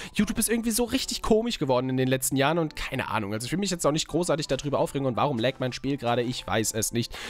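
Very wide pitch swings mark this man's speech. He talks very fast. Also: dry sound with no echo. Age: 20s. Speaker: gaming YouTuber. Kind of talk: casual let's play commentary. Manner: animated. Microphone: studio mic.

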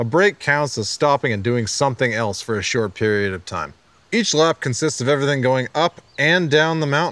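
This man's intonation is lively, and the sound is dry with no echo. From Calgary, Canada; Canada. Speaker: bike park host; show host. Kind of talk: scripted comedic presentation. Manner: animated; fast. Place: studio.

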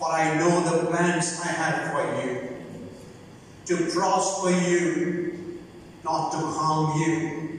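A woman speaks at a very slow pace with a very deep, low pitch. Her voice carries strong room echo over light background noise. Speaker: prayer leader in a migrant worker church. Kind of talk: fervent closing prayer and benediction at a church service. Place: church. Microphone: podium.

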